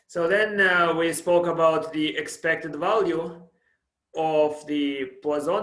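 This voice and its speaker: Room echo is audible as a man speaks in a high pitch with fairly even intonation. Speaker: professor. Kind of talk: lecture. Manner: halting, self-described stuttering.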